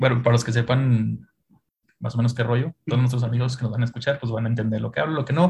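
A somewhat breathy man with a Mexican accent and fairly even intonation. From Mexico. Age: 30s. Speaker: e-commerce manager. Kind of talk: casual chat.

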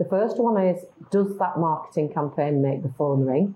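With a British accent, a woman speaks in a fairly low, somewhat breathy voice with ordinary pitch variation. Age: 50s. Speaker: marketing agency founder. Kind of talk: interview conversation.

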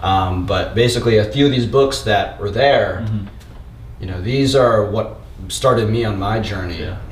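With an American accent, a man speaks at a fairly low pitch with ordinary pitch variation, over noticeable background noise and audible room echo. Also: moderate pace. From grew up moving as a US military kid. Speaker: digital marketing agency owner. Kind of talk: interview. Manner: casual, conversational.

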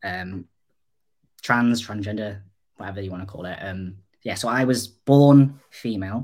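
The voice, in a North Welsh accent, moves at a moderate pace with ordinary pitch variation and long, frequent pauses. Its loudness swings widely on a very clean recording with a silent background. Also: man, fairly low pitch for a man. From North Wales. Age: 20s. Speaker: digital designer, mental health advocate. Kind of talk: interview.

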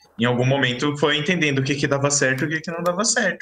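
Over noticeable background noise, a man with a fairly high pitch speaks at a very fast pace with lively intonation. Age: 20s. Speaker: podcast co-host. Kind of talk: casual chat.

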